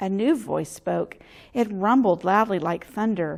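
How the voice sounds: The clip features a natural reading voice. That voice carries the whole recording.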